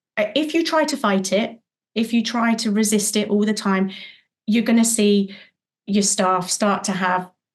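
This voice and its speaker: Somewhat breathy, a woman speaks at a medium pitch and a fairly slow pace. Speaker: childcare business owner. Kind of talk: podcast interview. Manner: animated.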